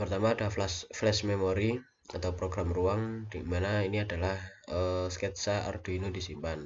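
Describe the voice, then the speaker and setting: Audible room echo surrounds a man's very deep, low, somewhat breathy voice, moving at a moderate pace with fairly even intonation. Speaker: university lecturer / lab instructor. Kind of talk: recorded lecture tutorial. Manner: hesitant, many fillers.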